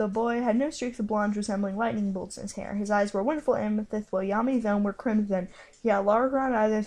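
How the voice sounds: A natural reading voice throughout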